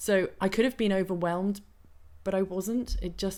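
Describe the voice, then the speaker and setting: The recording is very clean, with a silent background. A woman speaks at a medium pitch and a fairly slow pace. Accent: British. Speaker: wellness coach. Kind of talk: interview.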